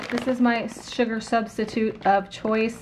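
Noticeable background noise runs under the voice. The speaker has an American accent. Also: woman. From Illinois. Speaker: lifestyle YouTuber. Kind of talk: grocery haul video. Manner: casual chatty. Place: kitchen.

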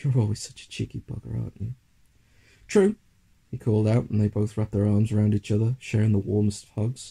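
Talking at a very fast pace, a man with a dark, mellow, somewhat breathy tone keeps a flat monotone while his loudness swings widely. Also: fairly low pitch for a man. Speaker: audiobook narrator. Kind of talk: literary audiobook reading of a fantasy short story. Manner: measured, dramatic storytelling pace.

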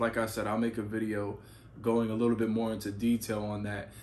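Over light background noise, a man with a fairly low voice talks at a moderate pace in a monotone, flat intonation. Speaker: freight dispatch educator. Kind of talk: casual vlog chat. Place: home room.

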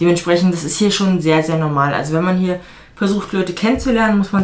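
This woman talks at a fairly quick pace in a fairly low voice, with ordinary pitch variation. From Germany. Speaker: vlogger and fitness coach; vlogger, fitness coach. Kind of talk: casual vlog talk to camera. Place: home room. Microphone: camera far.

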